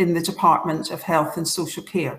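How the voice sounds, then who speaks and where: In a Scottish accent, a woman speaks with a fairly low pitch and monotone, flat intonation, with audible room echo. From Scotland, Clydebank. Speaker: public health leader, professional body president. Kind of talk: conference talk. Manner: halting, with many fillers and restarts.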